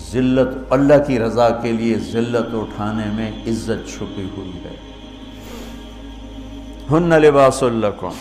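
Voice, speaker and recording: A man is speaking. Music plays in the background. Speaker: Islamic scholar. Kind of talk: religious sermon.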